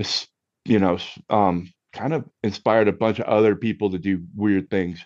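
In a dry, close sound with no echo and a quiet background, a man with a plain, everyday voice speaks at a moderate pace in a fairly low pitch with ordinary pitch variation. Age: 50s. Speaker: musician and cocktail enthusiast guest. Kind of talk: casual chat.

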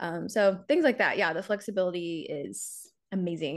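A woman with an American accent speaks in an ordinary speaking voice at a fairly quick pace. Her medium pitch varies in an ordinary way against a quiet background. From South Carolina. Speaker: reality TV contestant and content creator. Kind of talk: casual interview chat.

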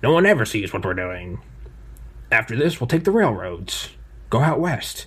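Using a put-on character voice, a man speaks at medium pitch and a moderate pace, with very wide pitch swings and long, frequent pauses. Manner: sinister, smug, exaggerated.

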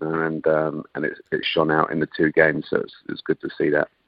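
A man with an English accent at a moderate pace. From England. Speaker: football coach. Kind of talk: radio interview.

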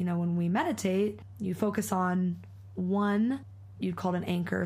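Audible room echo colors a woman's speech. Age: 20s. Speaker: mindfulness and yoga teacher. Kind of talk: casual chat.

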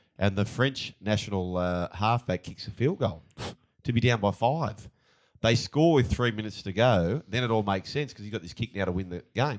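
Speaking at a moderate pace, a man with an Australian accent has a fairly low voice and ordinary pitch variation. The recording is very clean, with a silent background. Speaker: former rugby league player turned pundit. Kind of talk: casual sports betting chat.

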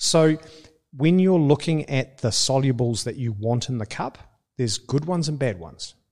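The speaker has a New Zealand accent and a moderate pace. The intonation is lively. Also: man, medium pitch for a man. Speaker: coffee company co-owner. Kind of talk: casual interview.

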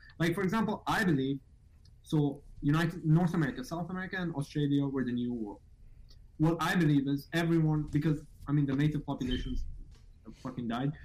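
Talking at a very fast pace, a man breaks his speech with long, frequent pauses. His voice is somewhat breathy and fairly high, with ordinary pitch variation. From Middle East. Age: 19. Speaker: caller. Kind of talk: casual debate.

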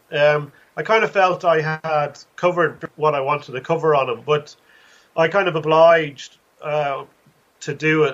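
A man with a Dublin accent, fairly high-pitched, at a moderate pace. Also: fairly even intonation. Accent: Irish (Dublin). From Ireland, Dublin. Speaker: author and college lecturer. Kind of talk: interview.

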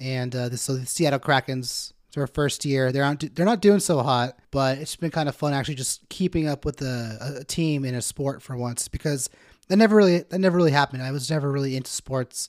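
A man's fairly high voice at a fairly quick pace with hardly any pauses and ordinary pitch variation, recorded very cleanly against a silent background with a dry, close sound and no echo. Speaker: podcast host. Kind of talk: casual comedy podcast chat.

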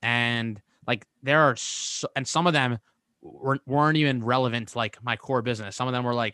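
A man's bright, sharp voice at medium pitch, fairly quick in pace and fairly even in intonation, dry and close with no echo over a quiet background. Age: 20s. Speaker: entrepreneur and podcast host. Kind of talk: casual interview. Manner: halting, many fillers and repeats.

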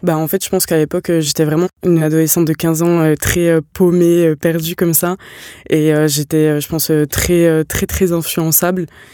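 A woman speaks at a moderate pace in a very deep, low pitch with a dark, mellow tone. Her intonation is monotone and flat, and the sound is dry and close with no echo. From eastern France, Franche-Comté. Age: 20s. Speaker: sociology student. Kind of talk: personal testimony interview. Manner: halting, many hesitations.

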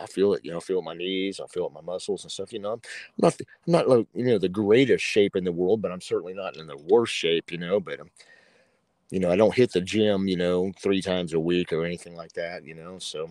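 A man with a very deep, low pitch talks at a very fast pace in an American accent, his loudness swinging widely. The recording is very clean with a silent background. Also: fairly even intonation, dry, close sound with no echo. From Oklahoma. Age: 50s. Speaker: former metal guitarist, gun YouTuber. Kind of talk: casual interview chat.

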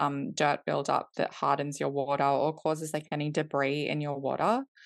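A woman talks at a fairly quick pace with an Australian accent. The background is quiet. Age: 30s. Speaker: company co-founder. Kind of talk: casual interview.

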